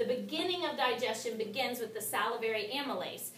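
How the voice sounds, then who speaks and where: A woman speaks at a fairly high pitch with lively intonation. Audible room echo and noticeable background noise surround her voice. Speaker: nutrition class teacher. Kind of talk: lecture.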